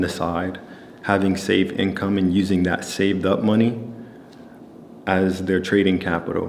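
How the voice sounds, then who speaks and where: A man's calm, monotone, flat voice at a very deep, low pitch, with audible room echo and noticeable background noise. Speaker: trading educator. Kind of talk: casual talking segment. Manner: calm, low-key; casual, many fillers.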